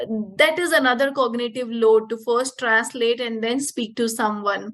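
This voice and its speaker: Speaking slowly, a woman with an Indian accent keeps her intonation fairly even. Her pitch is fairly high. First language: Punjabi. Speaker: yoga teacher. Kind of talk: casual interview. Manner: halting.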